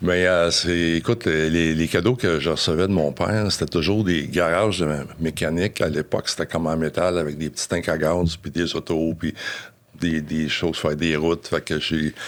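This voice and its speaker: A man's very deep, low voice keeps fairly even intonation at a moderate speed. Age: 60s. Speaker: business owner. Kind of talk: interview. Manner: halting.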